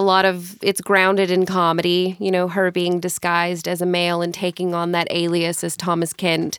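Over a silent background in a very clean recording, a woman talks at a moderate pace. She has an ordinary speaking voice, medium in pitch, with an American accent. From Mississippi, US South. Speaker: stage actor. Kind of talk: interview. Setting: studio.

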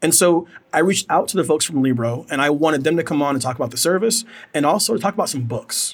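Fairly quick and lively in intonation, a man talks in an unremarkable speaking voice. His pitch sits fairly high. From United States. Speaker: podcast host. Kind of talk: casual chat.

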